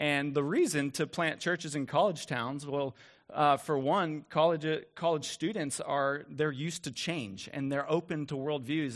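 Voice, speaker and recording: On a very clean recording with a silent background, a man with a normal speaking voice talks at a moderate pace, his pitch fairly high with ordinary variation. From moved around US South and Midwest. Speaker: pastor. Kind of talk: sermon.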